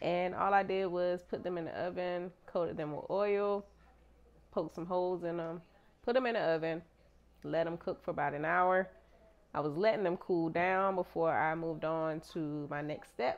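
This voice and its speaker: This woman's voice sits fairly low in pitch. Her intonation stays fairly even. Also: moderate pace. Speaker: home cooking vlogger. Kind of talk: casual vlog chat. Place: kitchen. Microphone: lapel.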